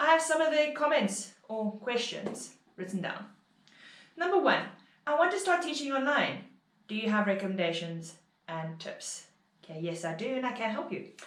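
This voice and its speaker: A woman with a fairly high voice speaks at a moderate pace, leaving long, frequent pauses. Her pitch swings very widely, and audible room echo surrounds her. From South Africa. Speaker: online English teacher. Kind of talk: tutorial vlog.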